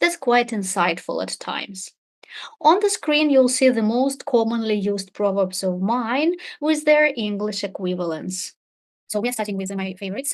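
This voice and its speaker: A woman's fairly high voice with lively intonation. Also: moderate pace. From Russia. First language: Russian. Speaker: English teacher. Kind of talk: webinar presentation. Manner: formal.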